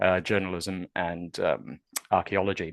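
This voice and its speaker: Someone speaks with a New Zealand accent in a monotone, flat intonation. The sound is dry and close with no echo, over a quiet background. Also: man. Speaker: university research fellow. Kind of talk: webinar presentation. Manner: hesitant, many fillers.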